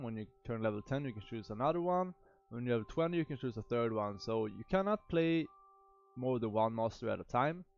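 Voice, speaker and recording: A man with a Swedish accent and a medium pitch speaks at a moderate pace with lively intonation while music plays in the background. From Sweden. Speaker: gaming youtuber. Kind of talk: game tutorial. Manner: halting, many fillers.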